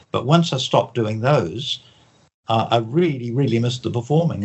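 The pace is fairly quick, the voice somewhat breathy, with ordinary pitch variation. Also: man. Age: 70s. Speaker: author and mentalist. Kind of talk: interview.

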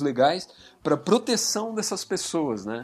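On a very clean recording with a silent background, a man with an ordinary speaking voice talks at a fairly slow pace with lively intonation. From São Paulo state, Brazil (Indaiatuba). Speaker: advertising professional and writer. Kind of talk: casual chat.

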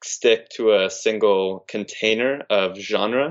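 This man speaks with a fairly low pitch. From California, Big Sur. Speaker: spiritual speaker and musician. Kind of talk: casual chat.

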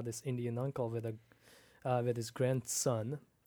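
A man with a slight Pakistani accent speaks at a medium pitch in a flat monotone, recorded very cleanly against a silent background. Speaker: pastor. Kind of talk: casual chat.

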